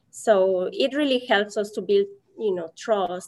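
A woman speaks with a Mexican accent. Her pace is fairly slow. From Mexico. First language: Spanish. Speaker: Spanish teacher. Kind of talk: casual interview.

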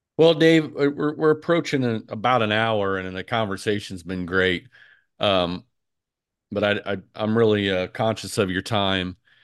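Against a quiet background, a man with a normal speaking voice talks at a moderate pace in a fairly low pitch with lively intonation. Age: 40s. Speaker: podcast host. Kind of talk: casual chat.

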